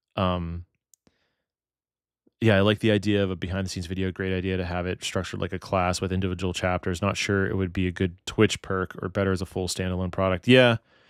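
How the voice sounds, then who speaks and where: At a very fast pace, a man with an American accent speaks in a very deep, low pitch with monotone, flat intonation, on a very clean recording with a silent background. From Pittsburgh, Pennsylvania. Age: 30s. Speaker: wedding videographer and streamer. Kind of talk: casual live stream chat. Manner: casual, thinking out loud.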